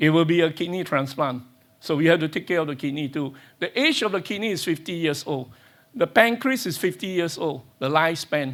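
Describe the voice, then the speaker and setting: On a very clean recording with a silent background, a man speaks in a normal speaking voice. His pitch is fairly high, his pace fairly quick and his intonation lively. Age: 60s. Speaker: stem cell researcher. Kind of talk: conference talk.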